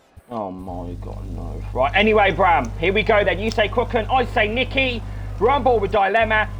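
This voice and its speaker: A man speaks with audible room echo and music playing in the background. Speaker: sim racing commentator. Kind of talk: live commentary. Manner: fast; animated.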